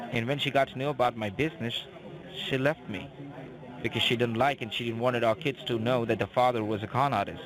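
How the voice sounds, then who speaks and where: Over noticeable background noise, a man talks at a very fast pace with a medium pitch and ordinary pitch variation. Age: young. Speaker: phone scammer. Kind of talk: confessional phone conversation. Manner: halting, repeats words.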